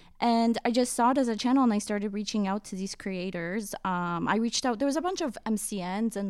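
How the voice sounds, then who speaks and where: A woman talks in a normal speaking voice at a fairly quick pace, medium in pitch. The recording is very clean with a silent background. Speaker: podcast industry professional. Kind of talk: casual chat.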